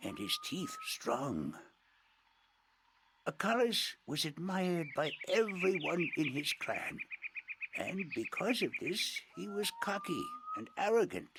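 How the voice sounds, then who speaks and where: A man adopts a put-on character voice, pitched high and delivered fairly slowly. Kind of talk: oral folktale narration. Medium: video game. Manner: formal, courteous.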